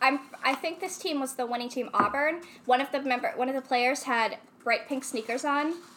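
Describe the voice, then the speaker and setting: A woman with a high pitch and an American accent talks at a fairly quick pace with ordinary pitch variation over noticeable background noise. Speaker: friend of the show. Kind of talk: casual chat.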